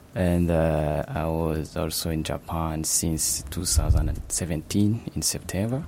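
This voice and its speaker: The speech comes at a very slow pace amid noticeable background noise. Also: man, very deep, low pitch for a man, ordinary pitch variation, hardly any pauses. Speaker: master's student. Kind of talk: casual interview.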